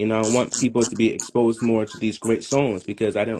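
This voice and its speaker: Speaking in a strong New York accent, a man has a fairly low-pitched voice. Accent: thick New York. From Brooklyn, New York. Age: young. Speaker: musician. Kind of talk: interview.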